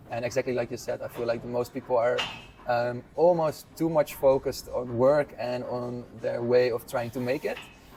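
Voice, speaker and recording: Against noticeable background noise, a man at a medium pitch speaks at a moderate pace in a monotone, flat intonation. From Netherlands, around Amsterdam. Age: 20s. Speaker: physical therapist. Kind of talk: casual interview.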